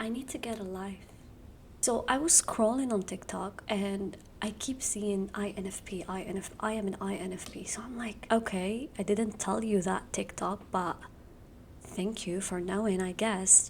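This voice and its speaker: A woman whispers at a moderate pace, her voice somewhat breathy. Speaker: youtuber. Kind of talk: casual explainer video. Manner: whispering.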